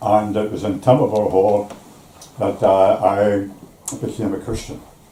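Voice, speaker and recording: A man's fairly low, monotone voice at a fairly slow pace, with noticeable background noise. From Northern Ireland, East Belfast. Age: 80s+. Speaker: retired shipyard worker. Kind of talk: life story interview. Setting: at home over tea. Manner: halting.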